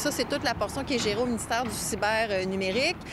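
With noticeable background noise behind her, a woman talks at a very fast pace. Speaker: government minister. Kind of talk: press interview.

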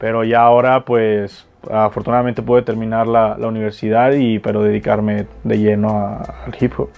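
A man speaks at a moderate pace in a medium pitch with monotone, flat intonation, and there is noticeable background noise. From Mexico, Jalisco (Guadalajara). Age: 20s. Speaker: freestyle rapper. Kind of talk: interview.

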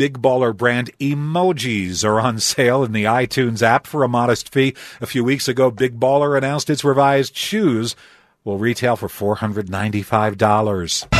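Against a quiet background, a man with a normal speaking voice talks fairly slowly at a medium pitch with ordinary pitch variation. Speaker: radio news anchor. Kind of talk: radio news reading.

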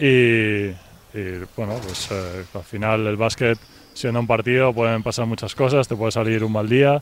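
A man speaks in a normal speaking voice at medium pitch and a fairly slow pace. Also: fairly even intonation. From Valencia, Spain. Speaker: professional basketball player. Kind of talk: radio interview.

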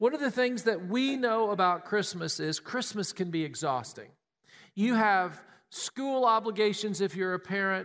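In a very clean recording with a silent background, a man with a Southern US accent talks at a moderate pace, his pitch high with ordinary variation. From Tennessee. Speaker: pastor. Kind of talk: sermon.

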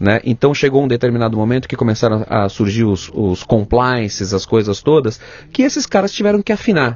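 The pace runs fairly quick, and pitch varies in an ordinary way. It is a plain, everyday voice. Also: man, medium pitch for a man. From São Paulo state, Brazil (Ribeirão Pires). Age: 40s. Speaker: television and film director. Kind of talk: interview conversation.

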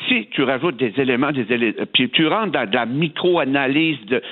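A man speaks in an unremarkable speaking voice at a medium pitch. His pace is fairly quick and his pitch varies in an ordinary way. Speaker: politician. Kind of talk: radio interview.

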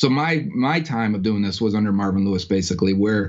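Using a normal speaking voice, a man with an American accent talks at a fairly quick pace, his fairly low pitch showing ordinary variation. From Western New York. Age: 30s. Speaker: sports podcaster. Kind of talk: casual interview.

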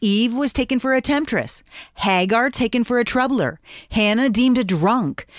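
An ordinary speaking voice moves at a moderate pace, with ordinary pitch variation and very even loudness. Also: woman, fairly high pitch for a woman. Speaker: radio host. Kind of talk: devotional show host.

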